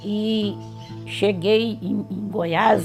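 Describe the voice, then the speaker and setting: A woman speaks with music in the background. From Minas Gerais, Brazil. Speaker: retired teacher and historian. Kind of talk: oral history interview answer.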